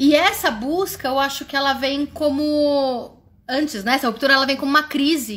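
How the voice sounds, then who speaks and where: Noticeable background noise sits behind a woman with a high-pitched voice. She talks at a moderate pace with ordinary pitch variation. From Brazil. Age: 30s. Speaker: walking group leader. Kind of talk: personal testimony. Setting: livestream. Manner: informal.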